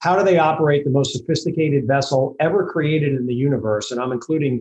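This man talks at a very fast pace with an American accent, his pitch fairly high. His intonation stays fairly even, and his voice is somewhat breathy.

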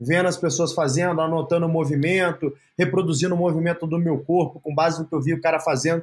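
A man's plain, everyday voice, fairly high in pitch, at a fairly quick pace. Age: 30s. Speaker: entrepreneur. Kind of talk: interview.

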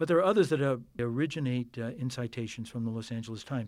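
A man with an American accent speaks at medium pitch on a very clean recording with a silent background. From Queens, New York. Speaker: linguist and university professor. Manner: hesitant, filler-heavy, academic.

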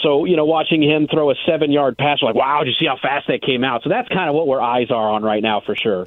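An unremarkable speaking voice from a man, fairly high in pitch, with ordinary pitch variation at a fairly quick pace. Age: 30s. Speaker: team radio coordinator and studio host. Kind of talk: casual chat.

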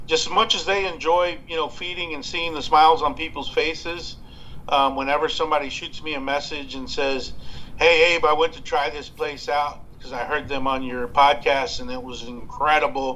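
A man with a Texan accent, fairly high-pitched and bright and sharp in tone, at a moderate pace with ordinary pitch variation and big swings in loudness, amid audible room echo. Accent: Texan American. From West Texas (Abilene). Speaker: barbecue podcast host. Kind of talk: casual interview. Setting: Skype call.

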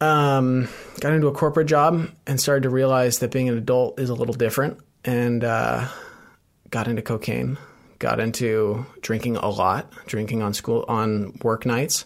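Over a very clean recording with a silent background, a man uses a normal speaking voice at medium pitch, with ordinary pitch variation and a moderate pace. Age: 30s. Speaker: ultramarathon runner in addiction recovery. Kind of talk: interview about personal recovery story.

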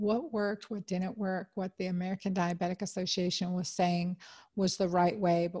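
Over a quiet background, a woman speaks at a medium pitch and moderate pace in a dark, mellow, somewhat breathy tone with monotone, flat intonation, the sound dry and close with no echo. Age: 50s. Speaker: OB-GYN doctor and podcast host. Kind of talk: solo health talk.

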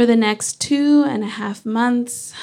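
Her pace is fairly slow. The woman's pitch variation is ordinary. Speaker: mathematician. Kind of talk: live storytelling. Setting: stage with audience. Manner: calm, not angry-sounding.

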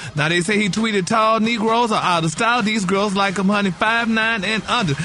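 Over noticeable background noise, a man speaks in a raised, projected voice that is high for a man and animated in tone. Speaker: gossip segment host. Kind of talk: radio gossip segment, chatty and campy. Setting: studio. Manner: animated, sassy, campy with pet words like honey.

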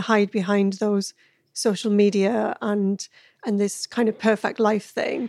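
A woman's normal speaking voice at a fairly high pitch and fairly slow pace, in a dry, close sound with no echo. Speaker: podcast host. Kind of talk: casual interview chat.

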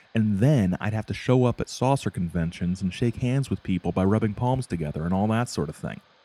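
What you hear is someone plainly reading aloud.

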